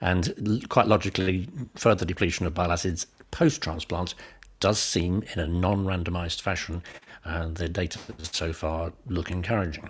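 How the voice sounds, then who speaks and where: A man's very deep, low voice, somewhat breathy, with fairly even intonation, on a very clean recording with a silent background. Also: moderate pace. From northern England. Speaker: pediatric hepatologist. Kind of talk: interview. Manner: halting, many fillers.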